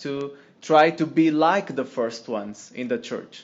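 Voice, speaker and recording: In a Portuguese accent, a man speaks at a fairly slow pace with ordinary pitch variation. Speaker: lay missionary. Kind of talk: testimony. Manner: halting.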